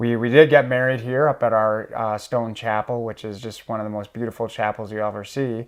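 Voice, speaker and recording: This man speaks at a fairly quick pace with a Minnesotan accent. His intonation is monotone and flat. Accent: Minnesotan, long O's. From Minnesota, Iron Range. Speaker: school director. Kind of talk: interview. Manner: frequent fillers (um, uh).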